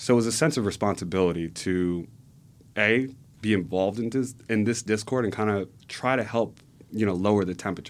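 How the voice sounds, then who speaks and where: In a very clean recording with a silent background, a man speaks at a fairly quick pace with an American accent. He has an ordinary speaking voice, a fairly low pitch and ordinary pitch variation. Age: 20s. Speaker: political organizer. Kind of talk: podcast interview. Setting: studio.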